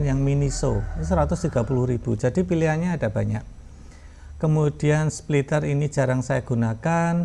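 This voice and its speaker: The man talks at a fairly quick pace with fairly high pitch. His tone is dark and mellow, and somewhat breathy. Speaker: university lecturer. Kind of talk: tutorial. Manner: hesitant fillers.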